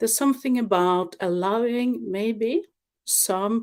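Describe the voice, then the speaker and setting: A woman's non-native accent with ordinary pitch variation. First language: not English. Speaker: webinar presenter. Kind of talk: livestream presentation. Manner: halting, with filler words.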